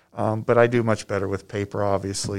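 A man with an American accent speaks at a fairly low pitch on a very clean recording with a silent background. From Ohio. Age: 60s. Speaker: rural physician and county health officer. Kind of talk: interview. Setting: on site at a hospital. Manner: halting, repeats words.

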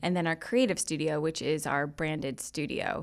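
An American accent from a woman, on a very clean recording over a silent background. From Connecticut, US. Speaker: media executive. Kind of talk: interview.

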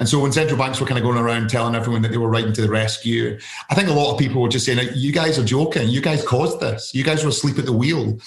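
With a Scottish accent, a man speaks at a very fast pace and medium pitch with fairly even intonation over noticeable background noise. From Scotland. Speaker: investment fund founder and author. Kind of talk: casual interview.

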